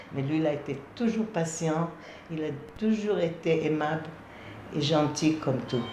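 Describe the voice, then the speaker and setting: A fairly slow delivery with a non-native accent, long, frequent pauses and noticeable background noise. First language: not French (speaking French). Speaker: amateur theatre actor. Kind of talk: memorial testimony.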